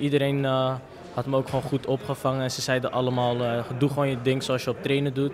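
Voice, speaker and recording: Over light background noise, a man talks at a fairly quick pace in a fairly high voice. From Amsterdam, Netherlands. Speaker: football player. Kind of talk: post-match interview. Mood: happy, modest. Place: hall. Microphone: handheld.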